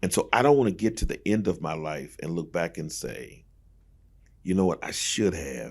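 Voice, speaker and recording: On a very clean recording with a silent background, a man with a very deep, low pitch and vocal fry speaks at a moderate pace with lively intonation. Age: 60s. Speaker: pastor. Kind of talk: casual chat. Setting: studio.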